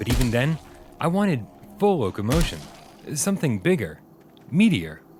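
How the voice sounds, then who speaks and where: Music plays behind a man whose pitch swings very widely. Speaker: video game reviewer. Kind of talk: game review voice-over.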